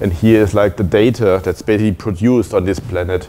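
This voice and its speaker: With music in the background, a man talks at a fairly quick pace in a fairly low pitch with ordinary pitch variation. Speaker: conference speaker. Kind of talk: lecture. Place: meeting room.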